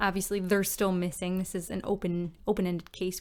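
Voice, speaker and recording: Woman with a Newfoundland accent, medium pitch, moderate pace. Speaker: podcast co-host. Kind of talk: casual chat; podcast case discussion. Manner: animated.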